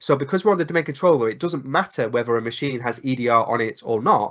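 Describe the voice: A man speaks at a medium pitch with ordinary pitch variation and a fairly bright tone.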